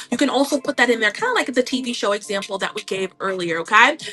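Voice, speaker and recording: Noticeable background noise sits behind a woman speaking. She talks at a fairly quick pace with lively intonation. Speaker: online seller coach. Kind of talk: livestream tutorial. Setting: live stream. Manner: casual, chatty.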